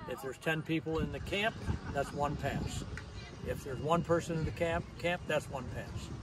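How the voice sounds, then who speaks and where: With noticeable background noise behind him, a man speaks at a moderate pace and a fairly high pitch with ordinary pitch variation. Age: 70s. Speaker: archery event founder. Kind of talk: casual interview. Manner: halting.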